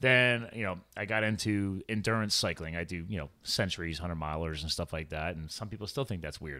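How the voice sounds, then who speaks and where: A man with a very deep, low pitch talks fairly quickly, with ordinary pitch variation and hardly any pauses. His tone is bright and sharp, and the recording is very clean with a silent background. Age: 40s. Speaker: podcast host and health coach. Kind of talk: casual interview chat; show outro with sponsor plugs. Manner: energetic, enthusiastic.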